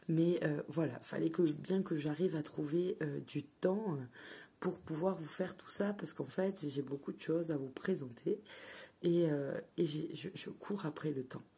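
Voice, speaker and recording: Somewhat breathy and dark, mellow in tone, a woman's fairly low voice moves at a fairly slow pace with ordinary pitch variation. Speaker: tarot card reviewer. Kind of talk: product review. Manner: hesitant, filler words.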